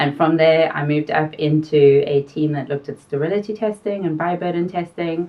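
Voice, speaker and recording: A woman speaks at a fairly quick pace with a South African accent, her very deep, low voice holding a fairly even intonation. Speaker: pharmaceutical quality consultant. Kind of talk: interview.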